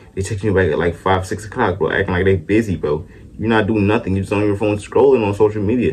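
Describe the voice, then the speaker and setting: A man speaks very fast in a fairly low, somewhat breathy voice. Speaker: vlogger. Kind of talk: casual rant to camera. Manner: halting, self-described stuttering; animated.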